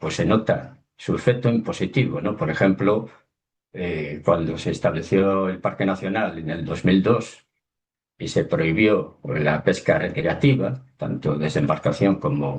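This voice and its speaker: Speaking at a fairly slow pace, a man with a very deep, low pitch keeps his intonation lively. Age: 60s. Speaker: underwater documentary filmmaker. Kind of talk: webinar talk.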